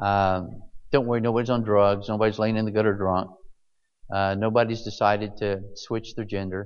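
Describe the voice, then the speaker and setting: A man's fairly low-pitched voice, monotone and flat in intonation, at a moderate pace with audible room echo. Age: 60s. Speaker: pastor. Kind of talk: sermon.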